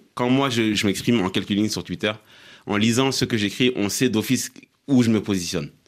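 A man with an unremarkable speaking voice talks at a fairly low pitch and fairly even intonation, in a very clean recording with a silent background. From Mali. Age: young. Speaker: blogger. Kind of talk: studio panel discussion.

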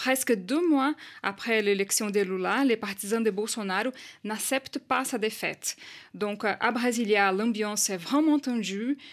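Speaking fairly slowly in a Portuguese accent, a woman uses a fairly high pitch with ordinary variation. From Brazil. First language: Portuguese (speaking French). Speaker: journalist. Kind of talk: radio news report. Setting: studio.

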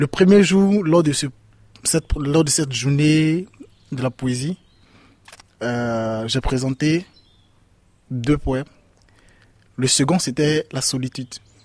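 Speaking at a very slow pace with long, frequent pauses, a man uses a fairly high pitch and ordinary pitch variation in a dry, close sound with no echo. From Ivory Coast. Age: 20s. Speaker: migrant. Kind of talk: testimony. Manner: halting.

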